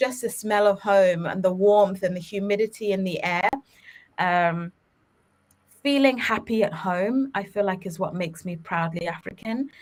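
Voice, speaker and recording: Speaking with a British accent, a woman talks at medium pitch and a fairly slow pace with ordinary pitch variation. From England, London (Ugandan-born). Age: 30s. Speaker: children's media company co-founder. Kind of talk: podcast interview. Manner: animated.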